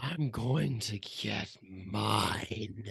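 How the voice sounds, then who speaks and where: In a put-on character voice, a man growls at a fairly low pitch. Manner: menacing.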